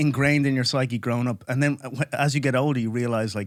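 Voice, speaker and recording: Recorded very cleanly against a silent background, the voice has ordinary pitch variation and an Irish accent. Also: man. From Ireland, Dublin. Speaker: comedian. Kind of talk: casual chat. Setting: studio.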